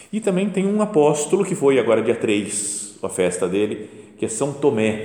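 A man with a Brazilian accent and medium pitch, very wide pitch swings, a moderate pace, and audible room echo. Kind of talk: guided meditation talk. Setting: chapel before the tabernacle. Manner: conversational.

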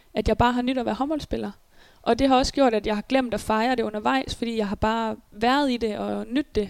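A woman with a normal speaking voice talks at a fairly quick pace, her pitch fairly high and her intonation fairly even. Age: 20s. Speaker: handball player. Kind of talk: interview. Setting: at home in apartment.

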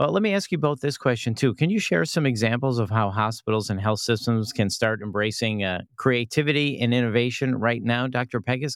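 An unremarkable speaking voice at a fairly quick pace with hardly any pauses and ordinary pitch variation, on a very clean recording over a silent background. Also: man, medium pitch for a man. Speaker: podcast host. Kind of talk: interview.

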